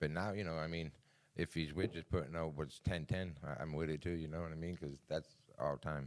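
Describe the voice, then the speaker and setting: A man with a Boston accent speaks at a very deep, low pitch. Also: fairly even intonation, fairly quick pace. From Boston, Massachusetts. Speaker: cannabis brand owner. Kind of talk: casual interview chat. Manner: brash.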